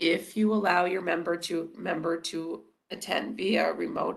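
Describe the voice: Putting on a character voice, a woman speaks raspy and hoarse at a fairly low pitch, with ordinary pitch variation and a moderate pace.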